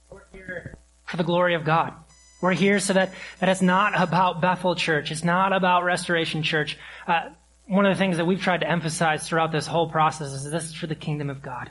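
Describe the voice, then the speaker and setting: A man with a high pitch speaks at a fairly quick pace with fairly even intonation. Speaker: pastor. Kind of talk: sermon. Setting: church. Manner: halting.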